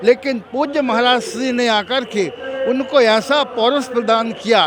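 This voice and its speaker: A man's extremely high-pitched voice is heard with noticeable background noise. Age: 60s. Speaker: religious preacher. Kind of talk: interview.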